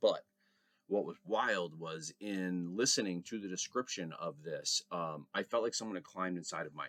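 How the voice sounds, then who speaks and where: The man's moderately paced voice comes across dry and close, without any echo. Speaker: vlogger. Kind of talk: personal reflection vlog. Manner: hesitant, many fillers; loud.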